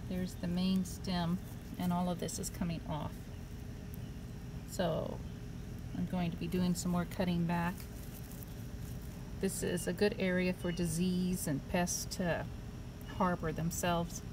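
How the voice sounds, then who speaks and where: Against noticeable background noise, a woman speaks at a fairly slow pace with a fairly low pitch and monotone, flat intonation, taking long, frequent pauses. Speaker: home gardener. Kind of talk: casual gardening talk to camera. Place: garden. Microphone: phone near.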